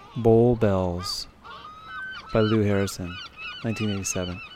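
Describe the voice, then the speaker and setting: Amid noticeable background noise, a man talks in a relaxed tone with fairly even intonation. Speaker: radio host. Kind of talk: radio dj patter. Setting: outdoors on location at Terminal Island. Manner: relaxed, conversational, back-announcing tracks.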